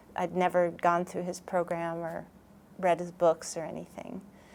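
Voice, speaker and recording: This woman speaks at a medium pitch. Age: 60s. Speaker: workshop participant sharing testimony. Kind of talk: testimony. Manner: halting, many fillers.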